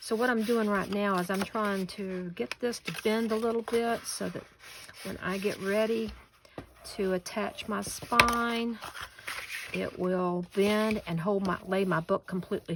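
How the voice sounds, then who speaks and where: A woman's relaxed, medium-pitched voice in a Southern US accent at a fairly slow pace, with noticeable background noise. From US South, western North Carolina. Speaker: paper crafter. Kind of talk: tutorial; casual chat. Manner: relaxed, folksy.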